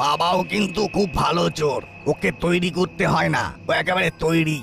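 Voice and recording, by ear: Clear background noise sits behind a man doing a high-pitched cartoonish character voice at a moderate pace.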